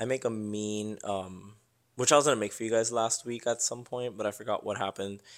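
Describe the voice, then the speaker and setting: This is an ordinary speaking voice at a fairly quick pace. The recording is very clean with a silent background. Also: man, medium pitch for a man. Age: 20s. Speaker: engineer. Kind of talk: casual chat.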